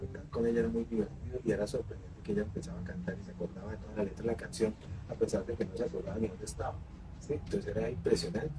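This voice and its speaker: Noticeable background noise is present throughout. Over it, a man talks very fast. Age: 60s. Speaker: interviewee on grief. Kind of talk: interview.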